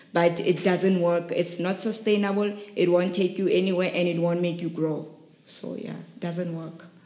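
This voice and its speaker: A woman with a fairly low voice speaks in a monotone, flat way at a moderate pace, with audible room echo and noticeable background noise. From South Africa, Rustenburg. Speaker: startup founder and CEO. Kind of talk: podcast interview.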